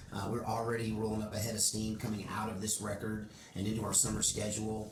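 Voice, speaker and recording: A man's fairly low voice in a Texas accent, very fast and monotone, with audible room echo and noticeable background noise. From Oregon, US. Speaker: country musician. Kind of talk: casual interview.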